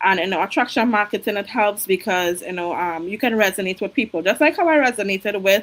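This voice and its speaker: In a Caribbean accent, a woman speaks at a fairly quick pace. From Trinidad. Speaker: registered nurse and online business coach. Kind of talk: interview.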